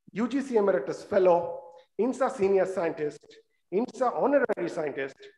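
Over a quiet background with audible room echo, a man talks at a moderate pace in a high pitch with ordinary pitch variation. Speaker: session host introducing a speaker. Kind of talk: formal introduction read aloud. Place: hall. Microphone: podium.

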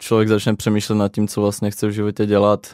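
In a dry, close sound with no echo, a man speaks in a fairly low voice with a dark, mellow tone. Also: very clean recording, silent background. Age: young. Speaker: music producer. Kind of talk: casual interview.

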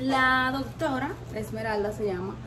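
Noticeable background noise runs behind the voice. A woman speaks fairly slowly. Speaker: vlogger. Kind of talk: casual vlog chat. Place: street.

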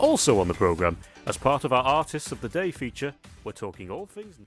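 A man's voice with very wide pitch swings and big swings in loudness, dry with no echo, faint music in the background. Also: fairly quick pace. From United Kingdom. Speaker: radio presenter. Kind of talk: radio presenting. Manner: upbeat, chatty. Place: studio.

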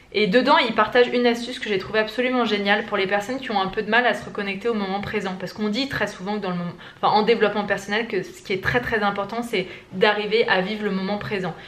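Fairly high-pitched and fairly even in intonation, a woman talks at a very fast pace. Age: 20s. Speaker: lifestyle vlogger. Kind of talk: casual vlog talk to camera; casual vlog chat. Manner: hesitant, many fillers. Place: home room. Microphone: phone near.

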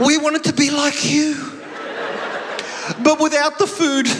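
A man talks slowly in an extremely high pitch, with monotone, flat intonation. Background noise is clearly audible.

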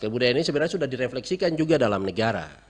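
The intonation is lively. It belongs to a man. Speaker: university lecturer. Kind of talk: radio interview. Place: studio. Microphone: studio mic.

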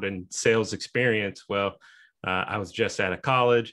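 A man's fairly low voice with an American accent, at a moderate pace over a quiet background. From Kansas, US. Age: 30s. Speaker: sales manager, new podcast co-host. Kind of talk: casual interview chat. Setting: video call. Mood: relaxed, friendly, laughing. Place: home room. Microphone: video call.

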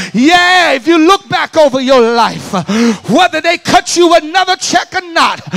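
In a Southern US accent, a man speaks with an animated tone. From US South, Alabama. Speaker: preacher. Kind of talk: sermon. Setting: church with live congregation. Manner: animated, call-and-response, urging the crowd to shout back; conversational, direct to the congregation. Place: church. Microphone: handheld.

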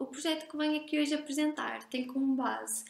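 Audible room echo surrounds a woman speaking at a moderate pace. She talks with a European Portuguese accent and fairly even intonation. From Portugal. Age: 20s. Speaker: master's graduate presenting research; presenter. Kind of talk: recorded conference presentation. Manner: formal. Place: home room.

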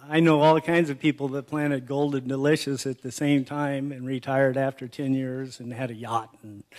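Against a quiet background, a man speaks. He keeps a moderate pace. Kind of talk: acceptance speech with anecdotes. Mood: warm, humorous. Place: hall. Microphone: podium.

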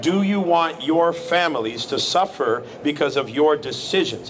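A man at a fairly slow pace, ordinary pitch variation, light background noise behind him. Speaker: street preacher. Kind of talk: street preaching, answering a passer-by's challenge about suffering. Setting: outdoors. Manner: earnest, firm, lecturing, at times sympathetic. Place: street. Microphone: handheld.

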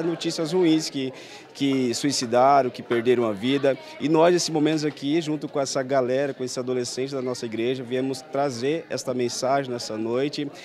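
A man speaks at a moderate pace with hardly any pauses and fairly even intonation, the sound dry with no echo and light background noise behind him. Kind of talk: interview answer. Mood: earnest, serious. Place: hall. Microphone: handheld.

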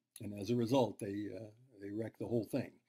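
A man's somewhat breathy voice, dark and mellow in tone, against a quiet background. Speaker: university lecturer. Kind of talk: lecture. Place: home room. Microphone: webcam.

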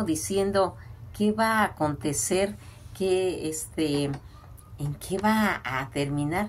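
Over light background noise, a woman speaks at a very slow pace with very wide pitch swings and vocal fry. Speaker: film commentator. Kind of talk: casual commentary on old films. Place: home room. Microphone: phone near.

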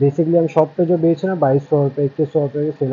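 Very rapid, monotone, flat speech from a man. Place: shop. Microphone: phone near.

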